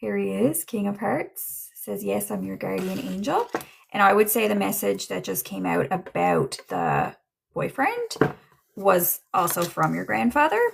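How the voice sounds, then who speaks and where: Speaking at a fairly slow pace, a woman talks in a Newfoundland accent. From Newfoundland, Canada. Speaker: livestream psychic medium. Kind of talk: livestream tarot reading chat. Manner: casual, halting with fillers.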